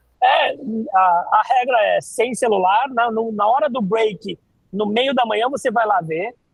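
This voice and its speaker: This man's pitch is extremely high, with ordinary variation. He speaks at a fairly slow pace. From Brazil, Santos (São Paulo coast). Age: 40s. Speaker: neuroscience lecturer and corporate trainer. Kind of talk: podcast interview. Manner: casual, animated.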